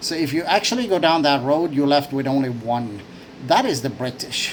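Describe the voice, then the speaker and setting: Noticeable background noise behind a man with a fairly high pitch, moderate pace and ordinary pitch variation. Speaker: vlogger. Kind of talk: opinion monologue. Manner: hesitant, many fillers and repetitions.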